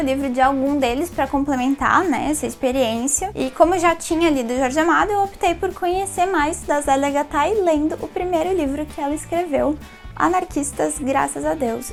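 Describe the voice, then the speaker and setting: The speaker talks in a São Paulo accent, with ordinary pitch variation. Noticeable background noise runs underneath. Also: woman, hardly any pauses. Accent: paulistano. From Brazil, São Paulo city. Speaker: book reviewer. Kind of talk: casual book review vlog.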